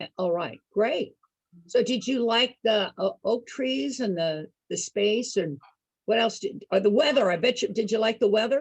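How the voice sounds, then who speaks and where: A woman with an American accent, fairly high in pitch with lively intonation at a moderate pace, in a dry, close sound with no echo. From Northern California. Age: 60s. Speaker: senior activity entertainer. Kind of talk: casual group chat. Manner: animated.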